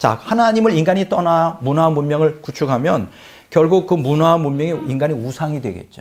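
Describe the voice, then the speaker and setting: A man speaks quite quickly in a fairly high voice with ordinary pitch variation. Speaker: pastor. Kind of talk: sermon. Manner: fast.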